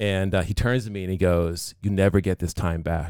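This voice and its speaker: Speaking in a Boston accent, a man with a very deep, low voice keeps a fairly even intonation on a very clean recording with a silent background. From Massachusetts (Pembroke). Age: 40s. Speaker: business owner. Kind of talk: casual chat.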